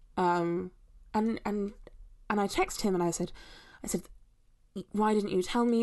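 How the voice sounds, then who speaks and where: Her voice has a dark, mellow tone. The woman speaks fairly quickly. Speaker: caller. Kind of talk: voicemail call-in story.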